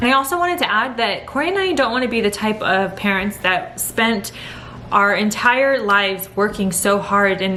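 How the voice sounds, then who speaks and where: A woman's animated, medium-pitched voice with ordinary pitch variation, noticeable background noise and audible room echo. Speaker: vlogger. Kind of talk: casual chat. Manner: fast.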